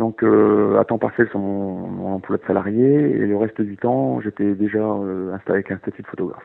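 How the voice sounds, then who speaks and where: Lively intonation marks this man's fairly low voice. He keeps a moderate pace. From northern France (Nord-Pas-de-Calais). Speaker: wildlife photographer. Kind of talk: interview. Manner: halting, many repetitions and fillers.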